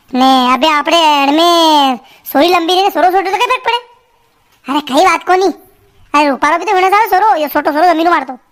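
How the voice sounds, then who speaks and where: Putting on a character voice, a woman speaks at an extremely high pitch and a fairly quick pace. Her intonation is lively. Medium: comedy sketch. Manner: chatty, joking, rustic.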